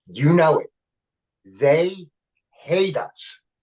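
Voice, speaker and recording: A somewhat breathy man in a Philadelphia accent, with ordinary pitch variation and a dry, close sound with no echo. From Philadelphia, Kensington. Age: 60s. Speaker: comedian and actor. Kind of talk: casual chat.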